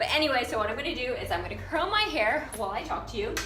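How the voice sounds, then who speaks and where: A woman's voice comes through noticeable background noise and audible room echo. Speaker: fashion designer and business coach. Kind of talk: casual vlog tutorial. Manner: hesitant with fillers.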